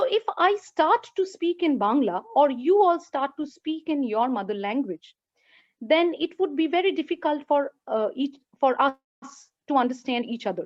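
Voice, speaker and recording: A woman's high voice with a Bengali accent, very wide pitch swings and a moderate pace. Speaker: lecturer. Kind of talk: lecture. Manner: halting.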